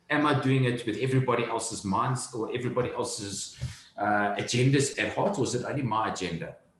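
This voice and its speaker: A man at a medium pitch and very fast pace, with ordinary pitch variation, audible room echo, and noticeable background noise. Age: 30s. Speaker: entrepreneur. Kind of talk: interview.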